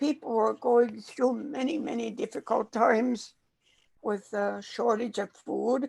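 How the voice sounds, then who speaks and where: A woman talks at a very slow pace with a fairly high pitch and vocal fry. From northern Saskatchewan, Canada. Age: 80s+. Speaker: elder and chef. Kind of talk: storytelling. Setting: pre-recorded conversation.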